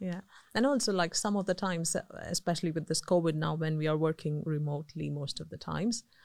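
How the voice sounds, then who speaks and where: A woman talks at a very fast clip. Her pitch moves in an ordinary way, and the recording is very clean with a silent background. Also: fairly low pitch for a woman. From India. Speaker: electrical engineer. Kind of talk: podcast interview. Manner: hesitant, many fillers.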